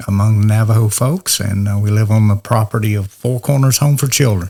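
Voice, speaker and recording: A man's dark, mellow, somewhat breathy voice at medium pitch, fairly quick in pace and fairly even in intonation. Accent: Southern US. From US South, north Georgia (Walker County). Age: 70s. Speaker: minister. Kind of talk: interview.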